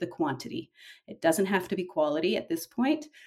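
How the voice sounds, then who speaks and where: Over a silent background in a very clean recording, a woman's somewhat breathy, medium-pitched voice moves through very wide pitch swings. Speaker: novelist. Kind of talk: interview.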